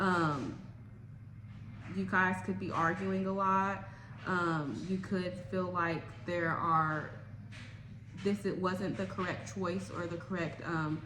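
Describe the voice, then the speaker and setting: A woman with a fairly low voice talks at a very slow pace with ordinary pitch variation and long, frequent pauses. Noticeable background noise and audible room echo fill the recording. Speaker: tarot reader. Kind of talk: tarot reading monologue. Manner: hesitant with many fillers.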